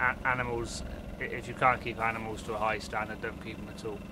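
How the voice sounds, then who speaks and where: A man's medium-pitched voice in a West Country accent, monotone and flat, with big swings in loudness, audible room echo and noticeable background noise. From Dorset, England. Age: 20s. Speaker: stockman. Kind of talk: casual explanation on location. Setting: outdoors and in a barn. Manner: halting.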